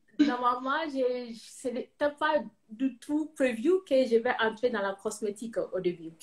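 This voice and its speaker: Speaking at a very slow pace, a woman uses a high pitch and talks with a Ghanaian accent. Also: ordinary pitch variation. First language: English (speaking French). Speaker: cosmetics entrepreneur, engineer. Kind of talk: interview. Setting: live video call. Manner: halting, many fillers.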